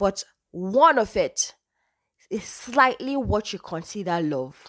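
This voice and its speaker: A woman speaks in a northern Nigerian accent, her tone animated and her pitch swinging very widely. The recording is very clean, with a silent background. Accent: Nigerian (northern, Hausa). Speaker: podcaster. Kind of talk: casual talk.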